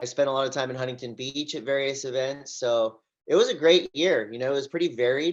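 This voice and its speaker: Talking at a very fast pace, a man with an American accent uses a fairly high pitch over a quiet background. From Southern California. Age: 40s. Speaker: surf commentator and event host. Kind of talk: interview answer. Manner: energetic, enthusiastic.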